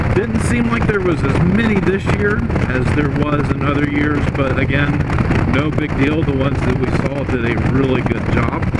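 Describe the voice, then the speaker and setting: Loud background noise accompanies a man speaking at a fairly slow pace. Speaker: motovlogger. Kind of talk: casual vlog chat. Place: motorbike. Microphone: helmet.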